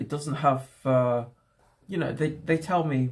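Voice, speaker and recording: A man with an English accent speaks at a fairly slow pace and a fairly high pitch. His voice is somewhat breathy, with ordinary pitch variation. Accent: English accent, very good. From England. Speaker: livestreamer. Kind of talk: casual livestream chat.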